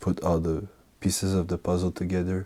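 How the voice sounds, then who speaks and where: A man speaks softly in a calm tone that is dark and mellow. His pitch is very deep and low, with monotone, flat intonation. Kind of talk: ASMR fragrance talk. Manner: calm, soft-spoken.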